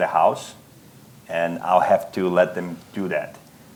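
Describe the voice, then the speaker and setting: Speaking fairly slowly, a man talks with a non-native accent. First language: not English. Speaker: business owner. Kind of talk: panel discussion.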